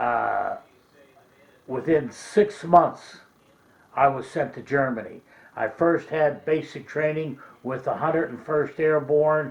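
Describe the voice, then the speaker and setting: A man with an American accent at a very slow pace, long and frequent pauses, and big swings in loudness. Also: fairly even intonation. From western Pennsylvania. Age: 70s. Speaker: war veteran. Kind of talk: oral history interview.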